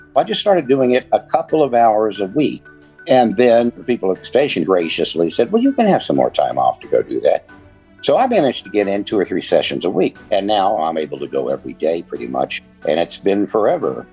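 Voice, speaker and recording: The speech moves at a fairly quick pace, with music in the background. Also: man. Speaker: audiobook narrator. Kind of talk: interview answer.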